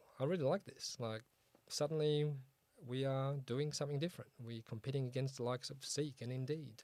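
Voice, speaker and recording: Speaking with an Australian accent in a dark, mellow tone, a man at medium pitch keeps a moderate pace with ordinary pitch variation and long, frequent pauses. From Australia (Sydney), born in Poland. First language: Polish. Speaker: start-up founder and CEO. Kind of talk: interview on a start-up show. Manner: casual, many fillers.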